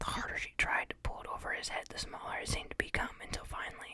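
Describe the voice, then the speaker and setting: Whispering at a moderate pace. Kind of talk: ASMR audiobook reading of a novel.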